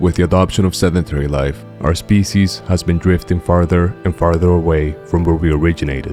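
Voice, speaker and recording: Very deep and low in pitch, a man speaks at a fairly quick pace with very even loudness and hardly any pauses over music in the background. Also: ordinary pitch variation. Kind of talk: documentary narration.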